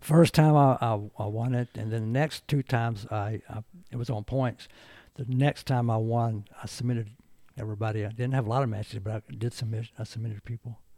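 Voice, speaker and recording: A dark, mellow tone with fairly even intonation at a fairly quick pace, dry and close with no echo, on a very clean recording over a silent background. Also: man, medium pitch for a man. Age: 70s. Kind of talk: casual chat.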